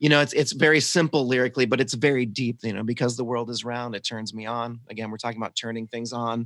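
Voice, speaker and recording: A man with an American accent at a fairly quick pace, with ordinary pitch variation and a dry, close sound with no echo. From US South. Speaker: podcast host. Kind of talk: casual chat about music. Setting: video call.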